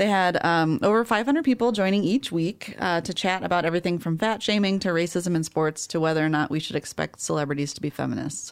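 A woman with a normal speaking voice and a fairly low pitch shows ordinary pitch variation on a very clean recording with a silent background. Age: 30s. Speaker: librarian podcast co-host. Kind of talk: casual chat. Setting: studio.

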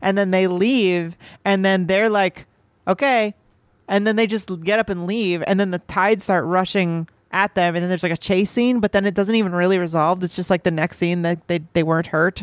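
In a dry, close sound with no echo, a woman with a plain, everyday voice talks at a medium pitch, her loudness very even and her intonation fairly even. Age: 30s. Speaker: movie podcast co-host. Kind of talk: casual chat.

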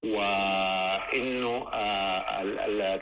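A man's fairly low-pitched voice with ordinary pitch variation. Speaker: lawyer and political leader. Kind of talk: radio interview. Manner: halting, many fillers.

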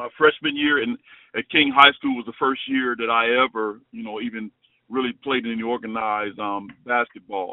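With an American accent and an ordinary speaking voice, a man talks at a medium pitch with fairly even intonation and big swings in loudness. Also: moderate pace. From Chicago. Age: 50s. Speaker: former college basketball player. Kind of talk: interview.

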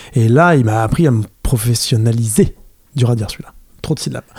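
A man speaks at a fairly quick pace with lively intonation. His tone is dark and mellow. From France, Fontainebleau. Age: 30s. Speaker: skateboarder and filmmaker. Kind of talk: casual chat. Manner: halting, many repetitions.

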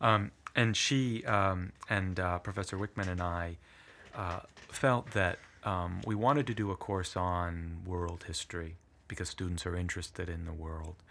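In a very clean recording with a silent background, a man speaks with a very deep, low pitch. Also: ordinary pitch variation, moderate pace. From southern Italy (Puglia), moved to US at eight. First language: Italian. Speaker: history professor. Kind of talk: interview conversation. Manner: thoughtful, hesitant with fillers.

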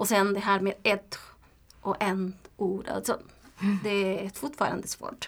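Speaking at a very slow pace with long, frequent pauses, a woman with a Spanish accent keeps her intonation fairly even. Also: medium pitch for a woman. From Nicaragua. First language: Spanish (speaking Swedish). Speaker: language learner, community organization worker. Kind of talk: interview. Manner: halting, with hesitations and repetitions.

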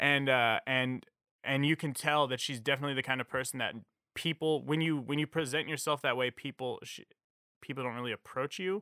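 An unremarkable speaking voice from a man, fairly high in pitch, fairly quick and fairly even in intonation. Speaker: musician. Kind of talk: casual chat.

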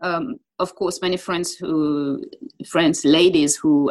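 A woman with a French accent speaks at a fairly slow pace in a fairly low pitch, with ordinary pitch variation. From France. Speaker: football TV presenter. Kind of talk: interview.

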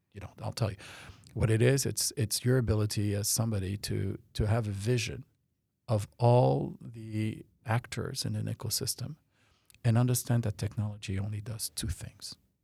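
On a very clean recording with a silent background, a man speaks at a moderate pace in a fairly low pitch with ordinary pitch variation, a dark, mellow tone and a somewhat breathy quality. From France. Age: 50s. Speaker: tech company founder and CEO. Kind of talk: interview. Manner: halting, repeats words.

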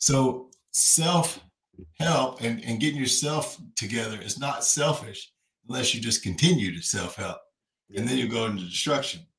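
A man with a Kentucky accent, animated in tone, lively in intonation, at a moderate pace. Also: medium pitch for a man. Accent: US Southern, Kentucky. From Kentucky (Frankfort, Owensboro). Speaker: crypto influencer and finance teacher. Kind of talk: casual chat, personal testimony.

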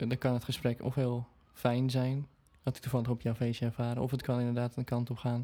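Speaking at a fairly quick pace, a man has a medium pitch and a dark, mellow tone. His intonation is monotone and flat, with very even loudness. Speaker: singer and podcast co-host. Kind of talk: casual chat.

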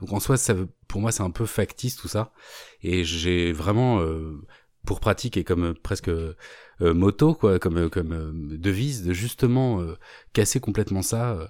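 Over a silent background in a very clean recording, a man with a very deep, low pitch and a dark, mellow tone talks with ordinary pitch variation and long, frequent pauses. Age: 40s. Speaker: YouTuber, art commentator. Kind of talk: casual interview chat.

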